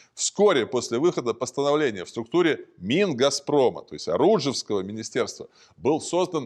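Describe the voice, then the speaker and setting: Very wide pitch swings and vocal fry over a quiet background. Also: man. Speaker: narrator. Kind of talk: documentary narration. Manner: formal; measured.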